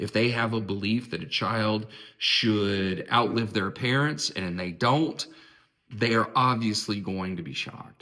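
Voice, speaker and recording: A man with an American accent, fairly low in pitch, at a fairly slow pace with ordinary pitch variation. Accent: southern drawl when passionate. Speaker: therapist and philosophy video host. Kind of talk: reflective monologue. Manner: casual, with repetitions and false starts.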